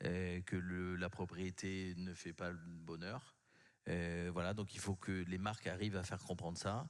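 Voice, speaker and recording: In a southwestern French accent, a man with a very deep, low pitch speaks in a monotone, flat intonation, captured in a very clean recording with a silent background. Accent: southwest French. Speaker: communications consultant. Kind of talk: panel discussion. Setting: conference stage with audience.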